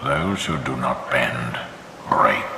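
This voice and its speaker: A man's cartoonish character voice, with clear echo and clear background noise. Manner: grave, measured, authoritative.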